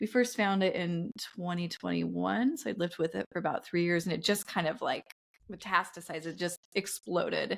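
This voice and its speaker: At a fairly quick pace, a woman with a fairly low voice speaks with vocal fry and ordinary pitch variation. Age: 40s. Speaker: podcast host. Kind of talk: casual chat.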